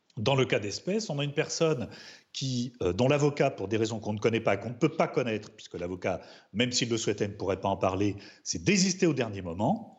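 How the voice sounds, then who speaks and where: At a fairly quick pace, a man with a medium pitch and a somewhat breathy voice swings his pitch very widely. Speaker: criminal defense lawyer. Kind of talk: studio debate interview.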